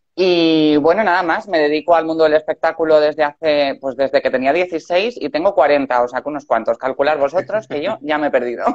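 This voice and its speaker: Speaking fairly quickly with hardly any pauses, a woman with a very deep, low pitch uses ordinary pitch variation in a dry, close sound with no echo. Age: 40s. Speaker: entertainer. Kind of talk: conversation.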